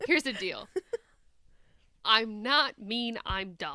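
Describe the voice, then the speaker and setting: A woman with a Midwestern accent speaks very slowly at a high pitch, her voice swinging very widely up and down. The sound is dry and close, with no echo. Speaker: podcast host. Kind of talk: casual chat.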